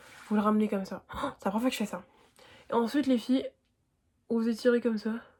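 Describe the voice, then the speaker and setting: At a very fast pace, a woman talks in a somewhat breathy voice at a fairly high pitch with fairly even intonation. The recording is very clean, with a silent background. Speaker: beauty youtuber. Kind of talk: tutorial. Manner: casual slangy.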